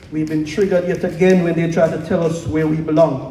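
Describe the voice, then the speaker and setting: Noticeable background noise sits under the speech. The delivery is fairly quick, and the intonation is fairly even. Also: man. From Jamaica. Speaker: spoken word poet. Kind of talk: casual stage banter; spoken word performance. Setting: stage with audience at open mic night.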